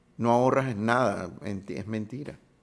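A man speaks with a Caracas Venezuelan accent, in a medium pitch with ordinary pitch variation. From Venezuela, Caracas. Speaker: film sound designer and director. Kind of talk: interview. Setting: at his home.

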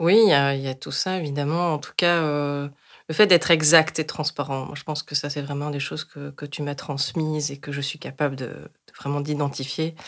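In a very clean recording with a silent background, a woman with a very deep, low pitch speaks at a moderate pace, her intonation fairly even but with big swings in loudness. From France, Paris suburbs. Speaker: youth association coordinator. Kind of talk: interview.

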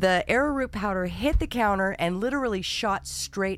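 Lively intonation and vocal fry mark this moderately paced speech. The recording is very clean, with a silent background. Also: woman. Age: 50s. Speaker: podcast co-host, soap maker. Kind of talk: casual chat.

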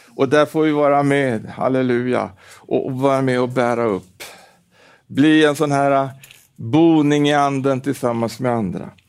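Over music in the background, a man speaks fairly slowly at a fairly high pitch with fairly even intonation. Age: 70s. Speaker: preacher. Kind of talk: sermon. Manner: halting with repetitions.

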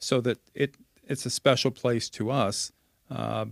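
With a Canadian accent, a man talks in a plain, everyday voice at medium pitch with fairly even intonation, recorded dry and close with no echo. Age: 50s. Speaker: communications professional, former radio reporter. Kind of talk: casual interview. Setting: home basement studio.

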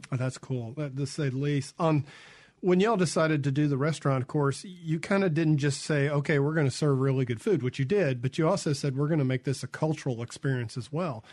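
In a Mississippi accent, a man talks at a fairly quick pace with a fairly high pitch. His voice is somewhat breathy, and his pitch varies in an ordinary way. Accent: US Southern (Mississippi). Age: 50s. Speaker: radio host. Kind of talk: radio interview. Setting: radio studio. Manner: casual.

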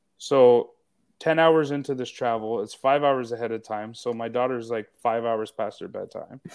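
A man's normal speaking voice at medium pitch, with fairly even intonation, a moderate pace and a quiet background. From Canada. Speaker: podcast co-host. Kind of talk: casual chat. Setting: live stream video call.

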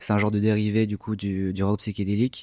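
A man speaks at a moderate pace. The recording is very clean with a silent background, dry and close with no echo. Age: young. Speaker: musician. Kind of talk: interview. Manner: halting.

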